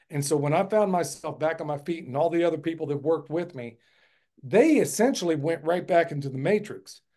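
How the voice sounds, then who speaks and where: A man speaks fairly quickly in an American accent, his pitch fairly high. His tone is dark and mellow, with ordinary pitch variation. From United States. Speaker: permaculture farmer and educator. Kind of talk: casual interview.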